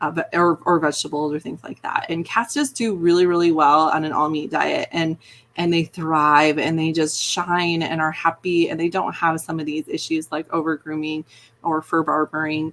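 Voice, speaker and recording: Over noticeable background noise, a woman talks at a moderate pace in a fairly low, flat, monotone voice. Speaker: veterinarian. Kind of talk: live Q&A stream. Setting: live video from her office. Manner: casual, filler-heavy.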